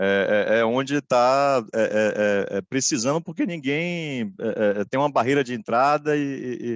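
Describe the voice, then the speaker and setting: In a Bahian accent, a man speaks at a fairly slow pace with a medium pitch and ordinary pitch variation. The sound is dry and close with no echo, against a quiet background. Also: hardly any pauses. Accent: Bahian Brazilian Portuguese. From Brazil, Bahia (Salvador). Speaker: corporate lawyer, panelist. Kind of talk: webinar presentation. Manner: halting, many fillers.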